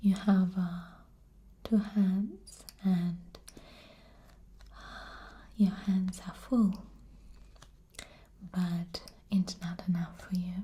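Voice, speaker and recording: Soft-spoken and somewhat breathy, the voice is dark and mellow, very slow and monotone, broken by long, frequent pauses. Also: woman, medium pitch for a woman. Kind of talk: soft-spoken tarot card explanation, show and tell.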